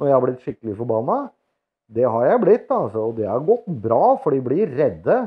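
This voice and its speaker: A man speaks at a moderate pace in a medium-pitched voice that swings very widely up and down, over a quiet background. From Norway. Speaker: vlogger. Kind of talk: casual vlog monologue. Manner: halting, many filler words. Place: home room. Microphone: lapel.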